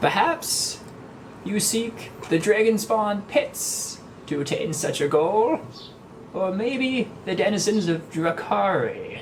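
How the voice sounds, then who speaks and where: Over clear background noise, a man uses a put-on character voice with a high pitch at a fairly slow pace. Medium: actual play. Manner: folksy, indifferent, knowing.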